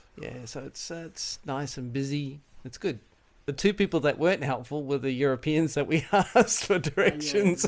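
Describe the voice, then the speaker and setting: A man with an Australian accent talks at a moderate pace and a fairly high pitch. His pitch variation is ordinary, and his loudness swings widely. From Australia, Melbourne. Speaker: tourist, scientist. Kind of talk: street interview. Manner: casual, hesitant with fillers.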